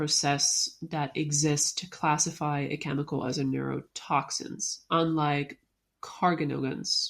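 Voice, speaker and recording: A woman with a non-native accent, a fairly slow pace, and ordinary pitch variation. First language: not English. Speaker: podcast co-host. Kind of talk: casual discussion of a research paper. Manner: halting, stumbles over words.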